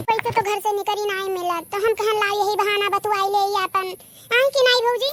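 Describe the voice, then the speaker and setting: In a cartoonish character voice, a woman talks fairly quickly at an extremely high pitch with fairly even intonation. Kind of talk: rustic Awadhi dialect. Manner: warm, chatty, coaxing.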